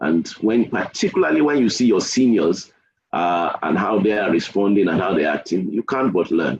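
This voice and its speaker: A man with a fairly low pitch uses a plain, everyday voice with lively intonation and very even loudness. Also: moderate pace. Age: 60s. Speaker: engineer giving a webinar talk. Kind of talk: webinar Q&A.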